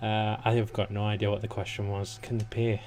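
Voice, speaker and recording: Mumbling at a fairly slow pace, a man talks in a fairly low, monotone voice with flat intonation. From northeast England. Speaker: gaming YouTuber. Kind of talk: let's play commentary.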